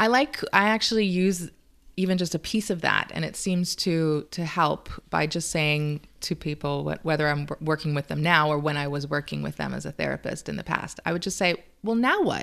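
A woman's very deep, low pitch with ordinary variation at a moderate pace, in a very clean recording with a silent background. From Cayman Islands. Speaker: relationship consultant, former therapist. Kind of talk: casual interview. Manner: halting with repetitions.

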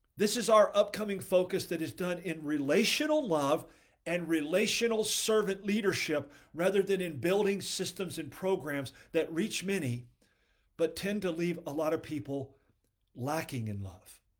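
A high-pitched man at a moderate pace with ordinary pitch variation, in a very clean recording with a silent background. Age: 60s. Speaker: ministry podcast host. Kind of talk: devotional teaching.

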